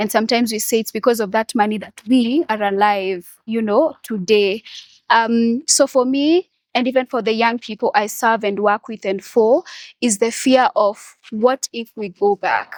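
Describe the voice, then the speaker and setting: In a normal speaking voice at a moderate pace, the speech carries ordinary pitch variation, with a dry, close sound with no echo on a very clean recording over a silent background. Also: woman, fairly high pitch for a woman. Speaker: young HIV activist. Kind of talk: podcast panel discussion.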